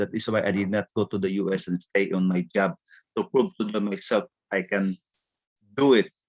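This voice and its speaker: A man speaks in a normal speaking voice with lively intonation. The sound is dry and close with no echo. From Philippines. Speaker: business speaker. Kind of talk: testimony.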